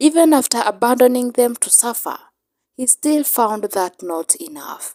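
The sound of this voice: A woman speaks slowly at a fairly high pitch, her intonation lively. The tone is slightly mellow, and the sound is dry and close with no echo.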